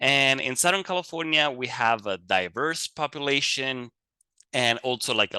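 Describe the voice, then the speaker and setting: Dry and close with no echo over a quiet background, a man with an Italian accent speaks at a moderate pace in a bright, sharp tone with lively intonation. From Italy. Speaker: fire advisor. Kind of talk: lecture.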